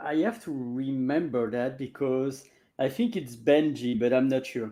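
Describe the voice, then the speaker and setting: Against a quiet background, a man talks at a fairly slow pace in a dark, mellow tone. His pitch is medium, with fairly even intonation. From Belgium. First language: French. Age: 40s. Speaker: language coach. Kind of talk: casual interview. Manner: halting.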